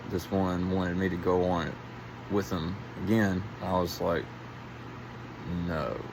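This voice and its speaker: The speaker is quiet, with fairly even intonation and long, frequent pauses. Echo from the room is audible. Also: man. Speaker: vlogger. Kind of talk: casual monologue. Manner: halting.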